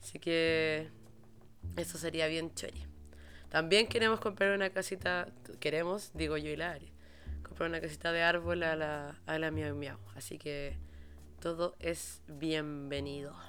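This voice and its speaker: With music in the background, a woman with a Chilean accent speaks at a fairly slow pace, leaving long, frequent pauses. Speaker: podcast host. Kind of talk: casual monologue. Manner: animated.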